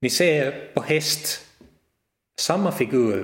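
Lively intonation runs through this man's speech.

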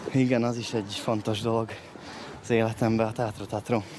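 A man's medium-pitched voice keeps a monotone, flat intonation at a moderate pace, with noticeable background noise behind it. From southern Slovakia (Hungarian minority, Szőgyén). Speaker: stage actor and director. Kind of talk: casual chat. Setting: outdoors.

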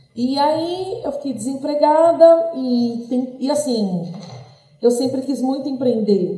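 With lively intonation, a woman speaks at a high pitch. Room echo is audible. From São Paulo, Brazil. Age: 30s. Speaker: restaurant owner. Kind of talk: interview.

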